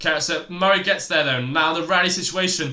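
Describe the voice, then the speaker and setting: High-pitched male voice amid noticeable background noise and audible room echo. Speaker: tennis live stream commentator. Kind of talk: live commentary. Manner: halting.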